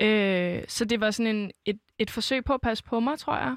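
A woman with a plain, everyday voice speaks at a fairly high pitch with ordinary variation, in a very clean recording with a silent background and a dry, close sound with no echo. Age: 20s. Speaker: singer-songwriter. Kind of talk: casual interview.

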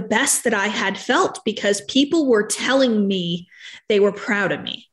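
Speaking in a normal speaking voice, a woman talks at a fairly slow pace, her pitch fairly high with ordinary variation. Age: 30s. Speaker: entrepreneur and body positivity advocate. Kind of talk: interview, personal story.

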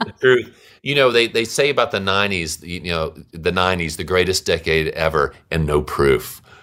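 A bright, sharp voice in a Louisiana accent, hardly any pauses, on a very clean recording with a silent background. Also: man, very deep, low pitch for a man, moderate pace. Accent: Louisiana Southern US. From US South, Louisiana (Monroe). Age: 50s. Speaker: musician. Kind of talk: casual chat.

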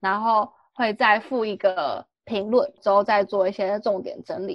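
A woman talks with a Taiwanese accent. Her pitch is fairly high, with ordinary pitch variation. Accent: Taiwanese Mandarin. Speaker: exchange student. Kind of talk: casual chat.

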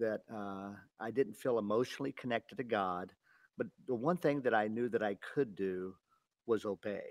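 This man has a plain, everyday voice at a medium pitch with ordinary pitch variation. He talks at a moderate pace, and the sound is dry and close with no echo. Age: 60s. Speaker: ministry director. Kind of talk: interview about faith. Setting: phone call.

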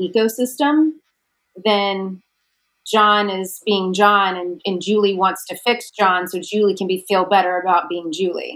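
Speaking at a fairly slow pace in a plain, everyday voice, the speaker keeps a fairly even intonation. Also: woman. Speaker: branding coach. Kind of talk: casual chat.

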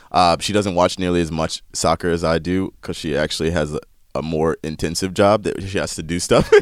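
On a very clean recording with a silent background, a man with an American accent speaks at a fairly quick pace in a very deep, low pitch with fairly even intonation. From US South, North Carolina. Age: 30s. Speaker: soccer presenter. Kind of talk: interview. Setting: studio.

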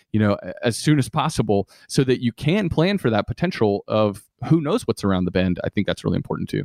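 Speaking at a fairly quick pace, a man has an unremarkable speaking voice at medium pitch. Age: 30s. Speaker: radio host and finance podcaster. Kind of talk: casual interview chat.

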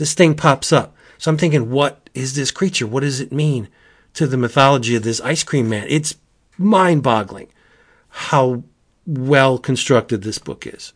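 At a moderate pace, a man speaks with an animated tone at a medium pitch. His pitch varies in an ordinary way against a quiet background. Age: 50s. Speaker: comic book podcast host. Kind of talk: casual chat.

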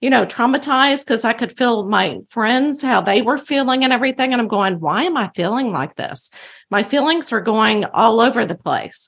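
A woman with a Texan accent talks at a high pitch. Her pace is moderate, and the background is quiet. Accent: Texan American. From Texas. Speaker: psychic medium. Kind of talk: interview. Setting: studio.

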